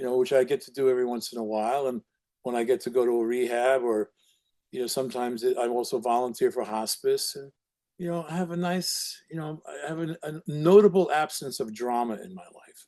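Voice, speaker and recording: Speaking at a fairly quick pace, a man has a dark, mellow tone and a medium pitch. His pitch varies in an ordinary way, while his loudness swings widely. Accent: New York. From Brooklyn, New York. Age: 70s. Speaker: recovery counselor and documentary subject. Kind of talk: interview conversation. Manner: halting, many repetitions.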